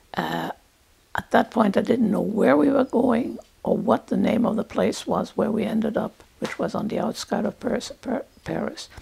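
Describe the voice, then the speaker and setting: At a moderate pace, a woman talks with a fairly high pitch and ordinary pitch variation. There is noticeable background noise. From Germany and France. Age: 80s+. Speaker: Holocaust survivor. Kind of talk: testimony. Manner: halting.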